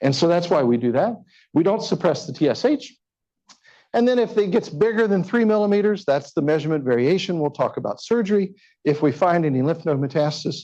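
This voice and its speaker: With a high pitch, a dark, mellow tone and lively intonation, a man talks at a fairly quick pace. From Kentucky. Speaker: physician. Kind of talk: lecture. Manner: animated.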